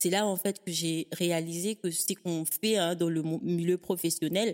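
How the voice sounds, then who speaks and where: With a fairly low pitch, a woman speaks at a moderate pace. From Africa. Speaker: podcaster, organization coach. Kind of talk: casual interview conversation. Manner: enthusiastic.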